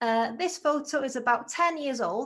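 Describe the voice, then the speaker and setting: Lively intonation carries through a very clean recording with a silent background. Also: woman. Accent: Welsh. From North Wales, Anglesey. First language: Welsh. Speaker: agile team lead. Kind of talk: conference talk.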